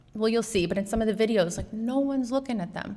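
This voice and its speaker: There is audible room echo around a woman's voice. She sounds animated, with ordinary pitch variation. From New York City. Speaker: artist and educator giving a talk. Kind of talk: lecture.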